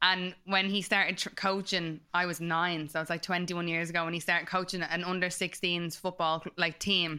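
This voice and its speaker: Speaking in a Dublin accent, a woman talks at a fairly quick pace with hardly any pauses, her fairly low pitch carrying a bright, sharp tone and a monotone, flat intonation. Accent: Dublin Irish. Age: 30s. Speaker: podcast co-host. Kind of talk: casual chat.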